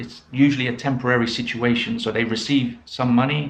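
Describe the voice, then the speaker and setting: A man's medium-pitched voice with a British accent. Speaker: English teacher. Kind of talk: pronunciation lesson to camera. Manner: slow, clear.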